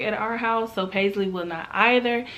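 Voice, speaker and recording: A woman speaks at a moderate pace. Her tone is animated. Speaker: lifestyle vlogger. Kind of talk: casual vlog talk.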